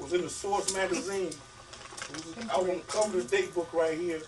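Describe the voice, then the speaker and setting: Music sits in the background as the speech moves at a fairly quick pace. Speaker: author giving a writing workshop. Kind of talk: workshop talk. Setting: bookstore with audience. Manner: fast.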